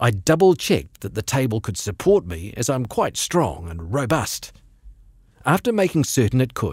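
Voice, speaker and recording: The voice is somewhat breathy, with very wide pitch swings at a moderate pace. The background is quiet and the sound dry with no echo. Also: man. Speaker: radio presenter reading a short story. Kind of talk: short story reading. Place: studio.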